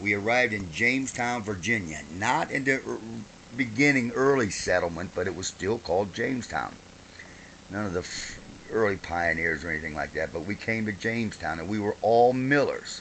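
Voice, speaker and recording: A man with a fairly low voice speaks at a moderate pace with lively intonation and an American accent, over noticeable background noise. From Ohio, US Midwest. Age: 60s. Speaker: grandfather. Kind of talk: oral history interview, casual storytelling.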